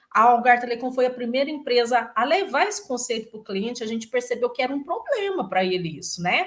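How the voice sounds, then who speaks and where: A high-pitched woman's voice with very wide pitch swings, a fairly quick pace and hardly any pauses, over noticeable background noise. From Brazil, Goiás (Itumbiara). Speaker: innovation lab executive, engineer. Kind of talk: interview.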